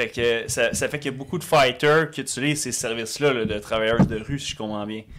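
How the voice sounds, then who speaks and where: A man uses a normal speaking voice at medium pitch, talking at a fairly quick pace with fairly even intonation. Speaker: podcast co-host. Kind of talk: casual podcast chat.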